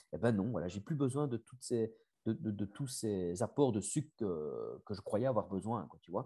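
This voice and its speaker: A dark, mellow voice with a slight Belgian accent, heard over a quiet background. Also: man. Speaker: family constellation facilitator and coach. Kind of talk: interview. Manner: hesitant, many fillers and repetitions.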